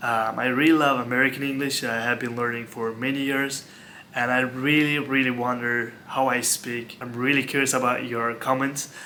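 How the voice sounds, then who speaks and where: Over noticeable background noise, a man with a Turkish accent talks at a moderate pace in a monotone, flat intonation. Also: medium pitch for a man. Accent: Turkish-accented English, non-native. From Turkey. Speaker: former hotel worker. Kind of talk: casual talk to camera.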